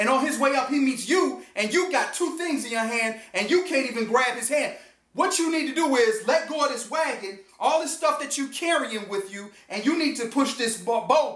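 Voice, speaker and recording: An animated man speaks at an extremely high pitch with ordinary pitch variation, at a moderate pace with hardly any pauses, amid audible room echo. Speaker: motivational speaker. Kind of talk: motivational talk.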